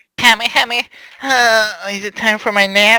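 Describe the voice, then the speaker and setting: A shrill, shouted put-on character voice in an American accent, pitched fairly high and delivered at a moderate pace with monotone, flat intonation. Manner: screaming, shrill.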